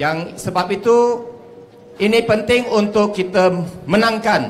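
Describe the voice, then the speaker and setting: The pace here is very slow. The speaker is a man. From Malaysia. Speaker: politician. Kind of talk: campaign rally speech. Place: stage. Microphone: handheld.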